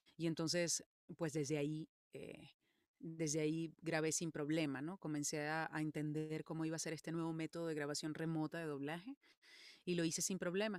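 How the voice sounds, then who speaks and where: A woman with a very deep, low voice speaks at a moderate pace in a monotone, flat intonation, recorded with a dry, close sound and no echo. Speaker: voice actress and singer. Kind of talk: interview.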